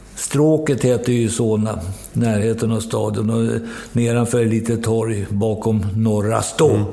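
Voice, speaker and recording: A man speaks fairly slowly at a medium pitch, his loudness very even. Audible room echo and noticeable background noise are present. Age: 70s. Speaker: football coach. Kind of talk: interview. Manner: halting.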